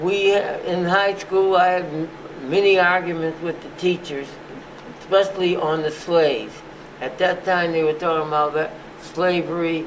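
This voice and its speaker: Noticeable background noise sits behind the recording. A man speaks at a high pitch with fairly even intonation. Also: moderate pace. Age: 80s+. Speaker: physician and museum founder. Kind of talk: oral history interview answer.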